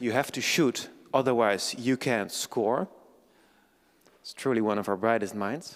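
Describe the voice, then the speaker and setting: A man with a Dutch accent at a fairly slow pace, with long, frequent pauses, in a very clean recording with a silent background. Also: medium pitch for a man, ordinary pitch variation. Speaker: event moderator. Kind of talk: event introduction. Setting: lecture hall with audience. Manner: slight stutter.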